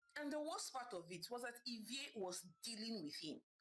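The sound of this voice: The voice reads in an unforced way. Lively intonation runs through it.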